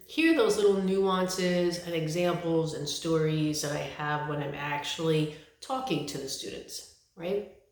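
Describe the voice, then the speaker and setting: With an American accent, a woman speaks at a fairly low pitch with ordinary pitch variation, amid audible room echo and noticeable background noise. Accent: New York accent, comes out occasionally. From New York City. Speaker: college English instructor. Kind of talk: course introduction video. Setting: self-recorded video. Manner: casual, conversational.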